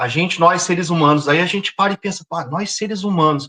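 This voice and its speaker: A man's high voice with a bright, sharp tone, a moderate pace and a dry, close sound with no echo. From southern Brazil, Porto Alegre. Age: 50s. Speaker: environmental activist. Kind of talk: interview.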